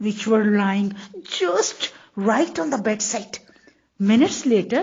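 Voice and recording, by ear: The text is read aloud in a natural voice whose pitch moves in an ordinary way.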